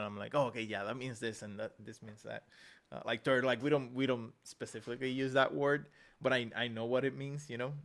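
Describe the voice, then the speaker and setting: His loudness swings widely as a man talks at a fairly quick pace, with a medium pitch and fairly even intonation. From Puerto Rico. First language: Spanish. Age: 40s. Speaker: digital artist, podcast host. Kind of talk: casual interview chat.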